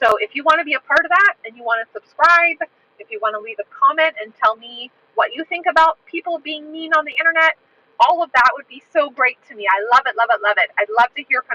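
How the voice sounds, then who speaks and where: A woman speaks in a raised, projected voice at a high pitch and fairly quick pace, her pitch swinging very widely. The sound is dry and close, with no echo. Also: big swings in loudness. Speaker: livestream host and English teacher. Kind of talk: casual livestream talk. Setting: outdoors walking in a park. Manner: clear.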